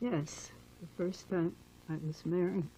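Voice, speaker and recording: Somewhat breathy, a woman with a fairly low pitch speaks in a dark, mellow tone with fairly even intonation. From Germany, Berlin. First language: German. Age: 70s. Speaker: Holocaust survivor. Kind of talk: oral history interview.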